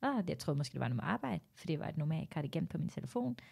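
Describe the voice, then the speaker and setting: The background is silent on this very clean recording. Someone female does the talking. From Norway, Tamil Sri Lankan parents. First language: Norwegian (speaking Danish). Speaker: stand-up comedian. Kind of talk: casual chat.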